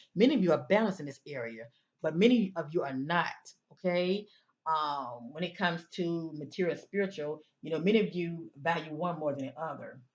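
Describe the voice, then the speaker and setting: Her fairly low voice moves with lively intonation as the woman speaks. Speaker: tarot/oracle card reader. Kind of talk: oracle card reading for zodiac signs. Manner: slowing down, less rushed; hesitant with fillers.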